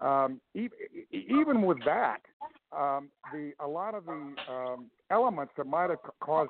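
A plain, everyday voice from a man with an American accent, fairly high pitch, lively intonation and a fairly slow pace. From Texas. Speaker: political commentator and consultant. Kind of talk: radio interview. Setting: phone call.

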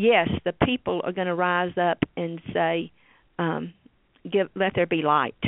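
In a Tennessee accent, a woman with a fairly low pitch speaks at a fairly slow pace with fairly even intonation. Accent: US Southern (Tennessee). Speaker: state senator. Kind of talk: interview.

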